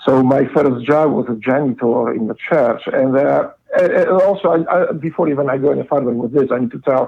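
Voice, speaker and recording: A man speaks at a fairly quick pace. There are hardly any pauses. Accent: Polish. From Poland. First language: Polish. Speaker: former Navy SEAL, guest. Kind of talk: casual interview, life story. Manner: halting, many fillers.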